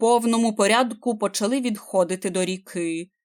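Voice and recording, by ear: A natural read-aloud voice, its pitch moving in an ordinary way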